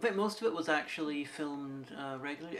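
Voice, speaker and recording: Noticeable background noise accompanies words spoken very rapidly. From Derry, Northern Ireland. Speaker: podcast co-host. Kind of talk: casual chat.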